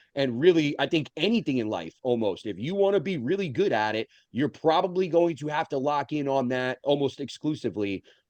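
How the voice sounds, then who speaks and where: Fairly quick and with hardly any pauses, a man talks in a normal speaking voice, fairly high in pitch, with lively intonation. The sound is dry and close with no echo, over a quiet background. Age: 30s. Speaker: podcast host and bodybuilder. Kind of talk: casual podcast conversation.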